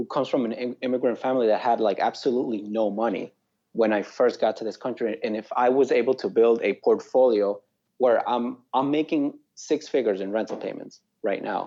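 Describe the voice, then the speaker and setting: Fairly even intonation and a fairly quick pace mark this speaker with a South American Spanish accent. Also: man, medium pitch for a man. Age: young. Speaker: real estate investor. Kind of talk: interview.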